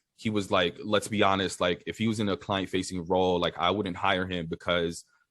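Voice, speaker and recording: A man with an American accent speaks at a moderate pace in a very deep, low pitch, his intonation fairly even, on a very clean recording with a silent background. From New York City. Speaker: tech industry director. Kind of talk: casual chat.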